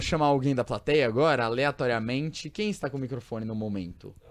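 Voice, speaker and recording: With lively intonation, a man speaks in a normal speaking voice at a medium pitch. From São Paulo state interior, Brazil. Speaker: podcast host. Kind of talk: casual chat. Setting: studio.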